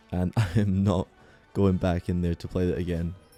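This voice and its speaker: A man talks with music in the background. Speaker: video game reviewer. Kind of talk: scripted narration.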